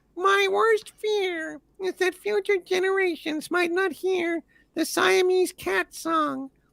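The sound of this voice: Extremely high in pitch, this put-on character voice moves at a fairly slow pace.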